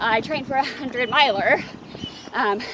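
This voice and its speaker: Over noticeable background noise, a woman speaks at a high pitch and a fairly quick pace. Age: 40s. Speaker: endurance athlete. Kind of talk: interview.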